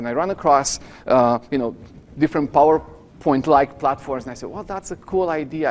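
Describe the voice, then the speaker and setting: Very fast and with a Romanian accent, a man talks at a fairly high pitch with ordinary pitch variation. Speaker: professor. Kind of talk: lecture.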